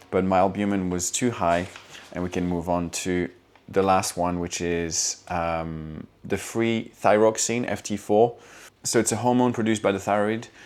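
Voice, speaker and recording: A man with a very deep, low voice talks at a moderate pace with fairly even intonation. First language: not English. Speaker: fitness vlogger. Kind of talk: casual video log. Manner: hesitant, many fillers.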